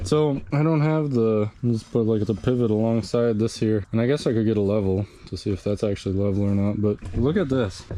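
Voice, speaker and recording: A man mumbles at a fairly quick pace with hardly any pauses, at a medium pitch with ordinary variation. Background noise is noticeable. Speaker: DIY video maker. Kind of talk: casual tutorial. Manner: mumbling; rambling, casual. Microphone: small speaker mic, far from camera.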